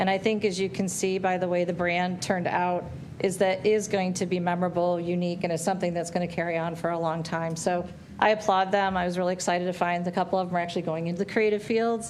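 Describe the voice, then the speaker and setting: Talking very fast in a flat, monotone way, a woman with a fairly low pitch is heard amid audible room echo. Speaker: branding agency presenter. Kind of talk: presentation to school board. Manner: loud.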